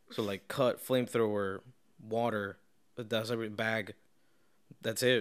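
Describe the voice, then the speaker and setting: A man mumbles at a moderate pace and a medium pitch. His intonation is monotone and flat, with long, frequent pauses. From Venezuela. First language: Spanish. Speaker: podcast host. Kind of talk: casual chat. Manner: mumbling, rambling.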